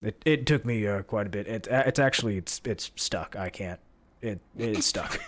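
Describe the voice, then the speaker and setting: A raspy put-on character voice from a man, medium in pitch, at a moderate pace. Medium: actual play. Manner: folksy, casual.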